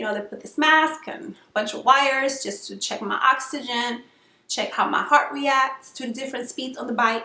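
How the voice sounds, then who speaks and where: With a raised, projected voice, a woman speaks fairly quickly in a high, bright and sharp tone, her intonation fairly even but her loudness swinging widely. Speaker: vlogger sharing weight loss surgery experience. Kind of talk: casual vlog tutorial. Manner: hesitant fillers, frequent um.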